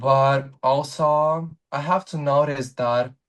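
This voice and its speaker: Speaking at a very slow pace, a man with a Russian accent keeps a medium pitch and fairly even intonation. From Ukraine, Donetsk region. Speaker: content creator. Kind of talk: interview. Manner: halting, with fillers.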